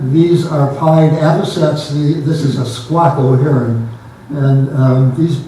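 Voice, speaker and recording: A man talks with fairly even intonation. Noticeable background noise and audible room echo fill the recording. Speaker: naturalist giving travel slide talk. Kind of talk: illustrated public talk. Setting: pavilion with audience. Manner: halting with many fillers.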